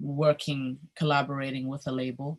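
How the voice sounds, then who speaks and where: The speaker is a woman with a somewhat breathy voice. She talks at a fairly slow pace. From Germany, Berlin. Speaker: singer and vocal coach. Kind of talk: interview.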